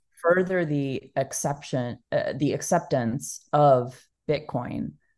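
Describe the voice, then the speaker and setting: This woman speaks with a Texas accent at a fairly slow pace. Her pitch is very deep and low, with ordinary variation. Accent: American (Texas). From Texas (Dallas). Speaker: bitcoin nonprofit founder. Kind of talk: interview.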